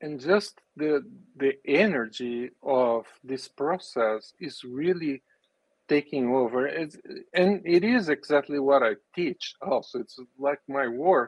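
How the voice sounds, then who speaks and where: Delivered very slowly with a Brazilian Portuguese accent, the speech has ordinary pitch variation. The sound is dry and close with no echo. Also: man, fairly high pitch for a man. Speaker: business and spirituality coach, race car driver. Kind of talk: casual interview.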